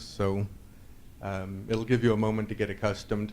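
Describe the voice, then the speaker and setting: A man's fairly low, monotone voice with flat intonation, a Californian accent and audible room echo. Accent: American (Californian). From northern California, Sierra Nevada foothills. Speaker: conference speaker, Drupal developer. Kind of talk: conference talk. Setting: stage with audience. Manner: hesitant, many fillers.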